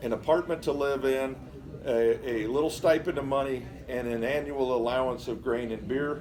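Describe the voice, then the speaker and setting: Noticeable background noise fills the clip. Through it, a man's voice sits at a medium pitch. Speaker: exhibit presenter. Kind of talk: museum talk to visitors.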